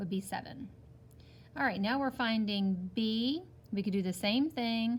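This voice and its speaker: Somewhat breathy and fairly slow, a woman speaks with lively intonation. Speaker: teacher. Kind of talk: tutorial.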